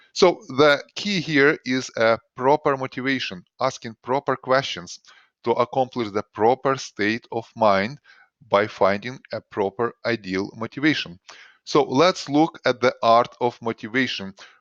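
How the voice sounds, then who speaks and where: With a non-native accent, a man talks at a fairly slow pace at medium pitch, showing ordinary pitch variation, the sound dry and close with no echo against a quiet background. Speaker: doctor giving health advice. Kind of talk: recorded presentation. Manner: hesitant, with frequent uh fillers.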